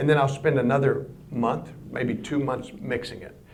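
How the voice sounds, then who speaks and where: The man's voice is somewhat breathy, at a medium pitch and moderate pace. Room echo can be heard. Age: 60s. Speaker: composer and record producer giving a public lecture. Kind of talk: public lecture. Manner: conversational.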